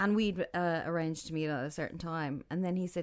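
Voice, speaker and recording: Fairly low-pitched for a woman, she speaks at a moderate pace with an Irish accent. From Ireland. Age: 40s. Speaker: freelance digital marketer. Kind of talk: casual chat.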